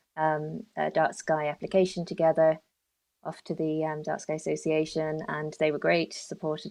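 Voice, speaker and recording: Against a quiet background, a woman with a London accent speaks in a very deep, low, monotone voice. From London, England. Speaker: dark sky park development officer. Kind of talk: podcast interview. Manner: hesitant, many fillers.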